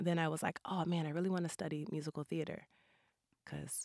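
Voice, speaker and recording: The woman's voice sits very deep and low, flat and monotone, with vocal fry. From St. Louis, Missouri (north side). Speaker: artist, educator and choreographer. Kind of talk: casual interview. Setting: studio.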